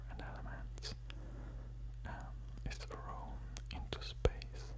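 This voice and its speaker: A man at a very slow pace over loud background noise. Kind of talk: educational narration. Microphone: studio mic.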